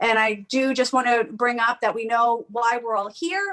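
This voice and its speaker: A high-pitched woman's voice with a Long Island accent. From New York, Long Island and New York City. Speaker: comedian hosting a comedy showcase. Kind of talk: event hosting introduction. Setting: home, remote streaming. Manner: casual, chatty with fillers.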